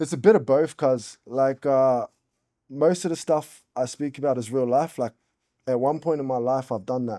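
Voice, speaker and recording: A man's medium-pitched, dark and mellow voice in an American accent, at a moderate pace with ordinary pitch variation, in a very clean recording with a silent background and a dry, close sound with no echo. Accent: American-sounding rap. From Australia, Brisbane south side. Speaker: rapper. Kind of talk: casual interview chat. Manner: talkative, slangy.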